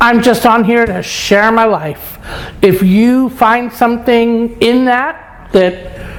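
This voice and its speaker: A fairly high-pitched woman with a New York accent, with noticeable background noise behind her. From New York, Brooklyn. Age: 60s. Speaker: lifestyle vlogger. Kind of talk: casual vlog monologue. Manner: casual, frank.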